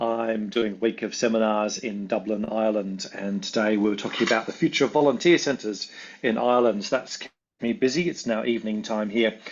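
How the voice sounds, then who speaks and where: A man speaks with an Australian accent at a medium pitch. His pace is fairly quick and his pitch variation is ordinary. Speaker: volunteering researcher and consultant. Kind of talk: online presentation.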